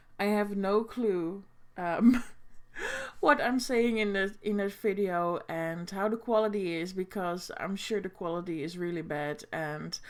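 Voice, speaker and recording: Speaking fairly slowly in a Dutch accent, a woman uses lively intonation at a medium pitch, captured in a very clean recording with a silent background. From Netherlands. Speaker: booktuber. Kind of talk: reaction video commentary. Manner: halting, many fillers.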